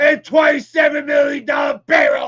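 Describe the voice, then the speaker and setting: Over crowd noise, a man with an American accent shouts at a moderate pace in an extremely high pitch. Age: 60s. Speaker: sports fan show host. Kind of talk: live-streamed fan rant. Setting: live stream from a smoke shop.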